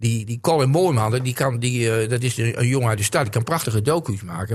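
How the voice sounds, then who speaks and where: Delivery is at a fairly quick pace. The voice has a somewhat breathy quality and ordinary pitch variation. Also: man. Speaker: football pundit. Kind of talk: casual chat. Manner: halting.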